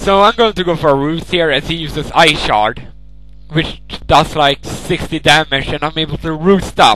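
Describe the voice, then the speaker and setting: A man's fairly high voice, with ordinary pitch variation, moves at a moderate pace against noticeable background noise. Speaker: gaming video narrator. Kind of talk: live gameplay commentary. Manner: casual, halting with repeats.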